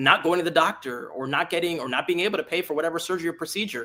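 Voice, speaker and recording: With an American accent, a man speaks at a high pitch in a bright, sharp tone, his pitch varying in an ordinary way. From South Florida (Hialeah, Miami area). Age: 30s. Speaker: congressional candidate. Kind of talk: political interview. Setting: live stream.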